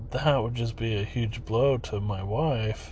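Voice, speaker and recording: A man speaks at a very slow pace and medium pitch with fairly even intonation, with audible room echo around him. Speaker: podcaster. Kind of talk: personal monologue. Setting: at daughter's practice.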